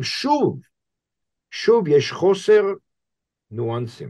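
A man speaks at a very slow pace with an English accent. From US, Boston. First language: English (speaking Hebrew). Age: 60s. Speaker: rabbi and professor. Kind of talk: interview conversation. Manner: halting, many fillers.

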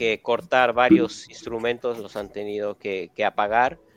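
Music plays in the background of a dry, close recording with no echo. A man talks at a fairly slow pace with medium pitch and ordinary pitch variation. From Mexico City. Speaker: space engineer. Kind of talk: interview.

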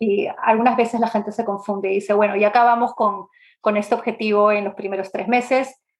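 A woman speaks at a fairly quick pace. Her fairly high voice stays monotone, with flat intonation. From Peru, Lima. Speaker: product management expert. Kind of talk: interview. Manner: hesitant, many fillers.

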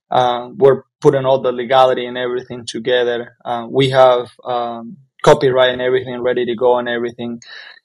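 A man speaks in a flat monotone at medium pitch, with hardly any pauses. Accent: Spanish. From Nicaragua, Jalapa. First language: Spanish. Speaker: pastor and church planter. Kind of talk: casual interview.

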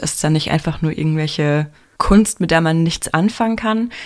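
A woman's voice with a very deep, low pitch. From Heidelberg-Mannheim region, Germany. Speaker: graphic designer and university lecturer. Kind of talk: interview.

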